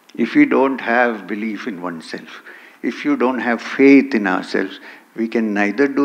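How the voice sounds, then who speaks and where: A man talks with ordinary pitch variation at a medium pitch and moderate pace, noticeable background noise behind him. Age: 60s. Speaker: spiritual teacher. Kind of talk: conference talk.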